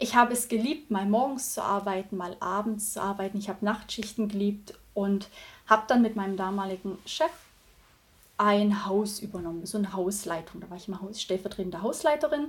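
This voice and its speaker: A woman speaks at a moderate pace, somewhat breathy, with ordinary pitch variation. Her loudness swings widely. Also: medium pitch for a woman. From Thuringia, Germany. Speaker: virtual assistant. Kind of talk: casual interview.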